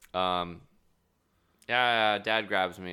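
Despite a very deep, low pitch, the man's voice has a bright, sharp tone, caught in a very clean recording with a silent background. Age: 20s. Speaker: comedian. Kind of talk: casual chat.

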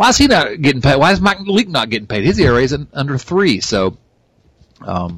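A man with an American accent speaks at a fairly high pitch, his voice showing vocal fry and very wide pitch swings. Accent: twangy American. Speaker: sports podcast host. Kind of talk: casual sports chat. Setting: online call recording. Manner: halting, many fillers.

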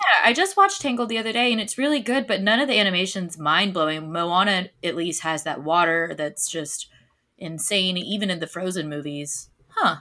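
A woman's medium-pitched voice, bright and sharp in tone, with an American accent. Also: moderate pace. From Florida. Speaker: podcast host. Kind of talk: casual chat.

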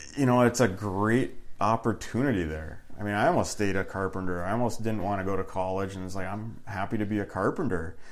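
A man with an Upper Peninsula Michigan accent, fairly low in pitch with ordinary variation, fairly quick and with hardly any pauses. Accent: Upper Midwest (Yooper). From Upper Peninsula of Michigan, Iron Mountain. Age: 40s. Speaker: family business owner. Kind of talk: casual interview.

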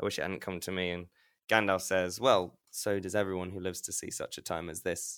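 A man with a slight Leicester accent speaks at a fairly quick pace in a very deep, low pitch with monotone, flat intonation. The recording is very clean with a silent background. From Leicester, England. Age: 20s. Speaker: guest storyteller. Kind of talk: storytelling conversation.

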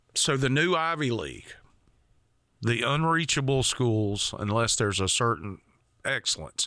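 Against a silent background on a very clean recording, a man with a Southern US accent and a bright, sharp tone uses lively intonation and long, frequent pauses. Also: medium pitch for a man, moderate pace. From rural Georgia, US South. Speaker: podcast host. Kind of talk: casual chat.

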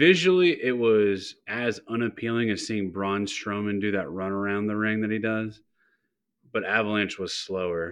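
A man with a normal speaking voice talks at a moderate pace in a fairly low pitch. His pitch varies in an ordinary way, and the background is quiet. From Youngstown, Ohio, US Midwest. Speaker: podcast guest. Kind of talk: casual chat.

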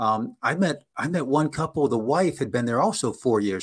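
An ordinary speaking voice moves at a fairly quick pace with lively intonation in a very clean recording with a silent background. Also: man. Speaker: business consultant and language school founder. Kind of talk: casual interview.

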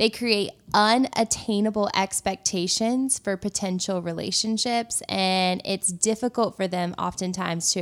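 Speaking fairly slowly in a medium pitch, a woman with an ordinary speaking voice is heard in a very clean recording with a silent background. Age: 20s. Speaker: faith podcast co-host. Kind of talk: casual chat.

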